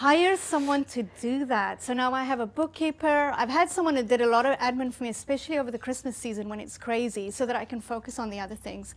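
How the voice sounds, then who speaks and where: With a South African accent, a woman races along at a very fast pace with hardly any pauses, her high voice showing ordinary pitch variation. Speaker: art studio owner and entrepreneur. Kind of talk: interview. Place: studio. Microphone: lapel.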